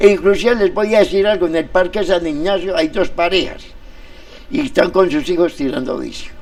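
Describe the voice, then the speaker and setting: A man talks with lively intonation at a moderate pace. Noticeable background noise runs underneath. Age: 70s. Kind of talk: interview on community radio. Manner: animated.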